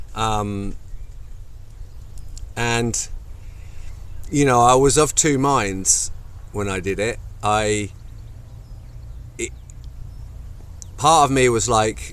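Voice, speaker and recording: A man at a medium pitch, very slow pace with long, frequent pauses, ordinary pitch variation and audible room echo. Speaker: movement and wellness coach. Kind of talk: casual video talk to camera. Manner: hesitant, many fillers.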